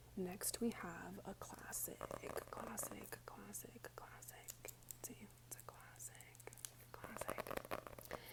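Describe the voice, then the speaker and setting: Someone whispers at a very slow pace. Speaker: ASMR creator. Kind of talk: ASMR book review talk to camera. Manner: soft-spoken.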